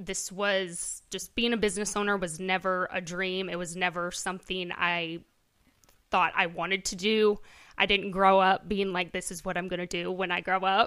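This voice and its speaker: Bright and sharp in tone, a woman with a Midwestern American accent speaks at a medium pitch and moderate pace with monotone, flat intonation, on a very clean recording with a silent background. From Iowa, US Midwest. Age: 20s. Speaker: boutique owner. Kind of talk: casual interview.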